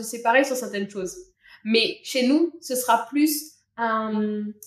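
In a plain, everyday voice, a woman talks at a fairly slow pace and a fairly high pitch, with ordinary pitch variation and big swings in loudness. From Réunion. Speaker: Réunion local sharing her culture. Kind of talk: casual chat.

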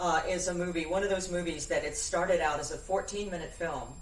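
Noticeable background noise fills the recording. A woman talks at a moderate pace. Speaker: voice-over artist and actress. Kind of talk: casual chat.

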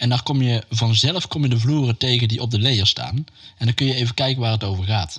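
Medium in pitch with ordinary variation, this man has a plain, everyday voice. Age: 50s. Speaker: stage crew podcast host. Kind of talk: casual chat.

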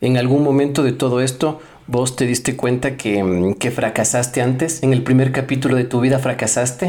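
Speaking at a moderate pace with hardly any pauses, a man at medium pitch has a dark, mellow tone, fairly even intonation and very even loudness. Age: 30s. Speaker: podcast host. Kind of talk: casual chat. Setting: guest's home. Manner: halting.

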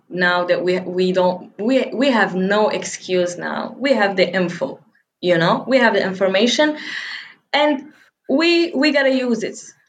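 Her intonation lively and her pitch medium, a woman speaks at a moderate pace with audible room echo. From Morocco, El Jadida. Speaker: sales representative and content creator. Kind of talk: casual interview.

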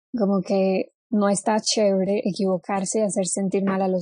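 A woman speaks at a medium pitch with a dark, mellow tone. Her voice is somewhat breathy. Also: quiet background. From Colombia (Cali). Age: 20s. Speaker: actress. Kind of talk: casual chat.

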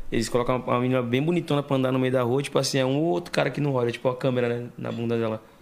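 Over noticeable background noise, a man of medium pitch talks very fast with fairly even intonation and hardly any pauses. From Santo André, São Paulo state, Brazil. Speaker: podcast co-host. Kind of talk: casual chat.

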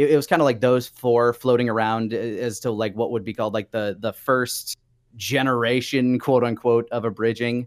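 A man with an American accent has an unremarkable speaking voice, medium in pitch, with fairly even intonation at a moderate pace. The very clean recording has a silent background and a dry, close sound with no echo. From Minnesota, US Midwest. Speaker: voice actor and writer. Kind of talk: casual interview.

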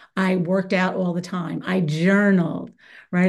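A woman with a medium-pitched voice speaks at a moderate pace against a quiet background. It is a normal speaking voice. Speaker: corporate trainer and author. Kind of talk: casual interview chat.

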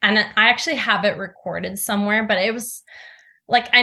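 A woman's bright, sharp tone with vocal fry, ordinary pitch variation, and a moderate pace against a quiet background. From Norway. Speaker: actress. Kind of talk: interview.

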